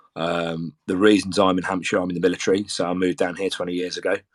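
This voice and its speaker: Speaking very fast in a Brummie accent, a man with a very deep, low pitch keeps a flat monotone in a dry, close recording with no echo. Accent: Birmingham (Brummie). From English Midlands, Birmingham. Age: 40s. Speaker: football supporters group organiser, military serviceman. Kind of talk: casual chat. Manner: hesitant, many fillers and repetitions.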